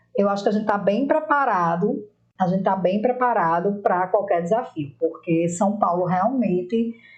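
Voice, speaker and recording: A woman with a plain, everyday voice speaks at medium pitch and a moderate pace, with very even loudness and ordinary pitch variation. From Rio Grande do Norte, northeast Brazil. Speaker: political marketing professional. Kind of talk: interview.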